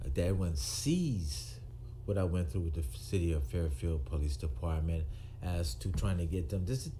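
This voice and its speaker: A man speaks at a moderate pace with a very deep, low pitch and a dark, mellow, somewhat breathy tone. His loudness stays very even amid audible room echo. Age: 60s. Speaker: retired police officer. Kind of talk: monologue to camera. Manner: halting, with fillers and repetitions.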